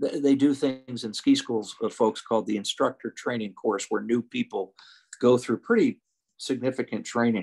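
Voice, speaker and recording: At a moderate pace, the voice comes through with a dry, close sound and no echo. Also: man. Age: 60s. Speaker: ski instructor and former ski racer. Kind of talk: casual interview chat. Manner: halting, many fillers and restarts.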